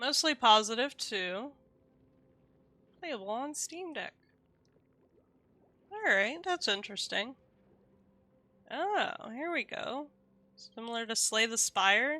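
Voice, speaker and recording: A woman talks very slowly in a high voice. Her speech is broken by long, frequent pauses. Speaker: game streamer. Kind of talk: casual live stream chat. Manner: stumbles over words.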